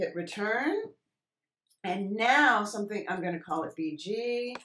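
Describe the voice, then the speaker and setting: Very slowly, a woman talks with lively intonation. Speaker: Photoshop teacher. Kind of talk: tutorial. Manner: casual, conversational.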